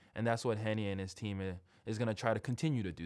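Here a man has an unremarkable speaking voice, pitched fairly low with fairly even intonation. The recording is very clean, the background silent. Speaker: podcast host. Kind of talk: casual interview chat.

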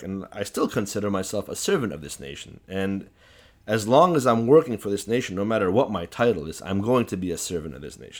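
A man with an American accent and fairly low pitch, very fast and with lively intonation, on a very clean recording with a silent background. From US Midwest (Chicago, Assyrian community). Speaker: political activist. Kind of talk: interview.

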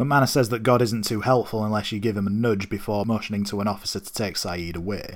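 With a non-native accent, a man speaks at a medium pitch. His pace is fairly quick. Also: very clean recording, silent background. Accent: non-American accent, listeners may mock it. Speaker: podcast host. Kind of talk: solo episode recap and review.

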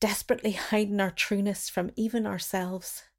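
A woman with a Derry accent speaks at a moderate pace and medium pitch, her intonation fairly even, on a very clean recording with a silent background. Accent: Northern Irish (Derry). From Northern Ireland. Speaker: writer and performer. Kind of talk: reading own memoir piece.

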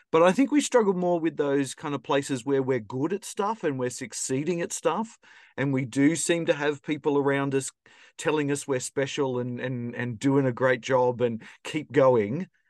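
Ordinary pitch variation in a dry, close sound with no echo, over a quiet background. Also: man, fairly high pitch for a man, moderate pace. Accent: Australian. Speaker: podcast host. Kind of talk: interview conversation.

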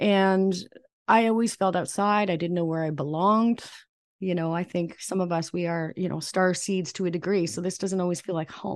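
Over a quiet background, a woman with a plain, everyday voice speaks at a fairly low pitch and a moderate pace, with fairly even intonation. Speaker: psychic medium and spiritual coach. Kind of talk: casual podcast interview about personal journey.

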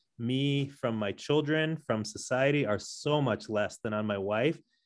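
An unremarkable speaking voice from a man with an American accent, at a moderate pace and with ordinary pitch variation. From San Diego, California. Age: 40s. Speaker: podcast host. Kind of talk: interview conversation.

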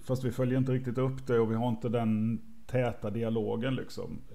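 A man speaks at medium pitch and a moderate pace. His tone is dark and mellow, with audible room echo. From Sweden, Småland. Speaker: university IT staff, podcast co-host. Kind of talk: casual livestream chat.

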